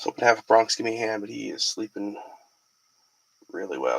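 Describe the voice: A man speaks at a moderate pace with fairly low pitch. His tone is bright and sharp.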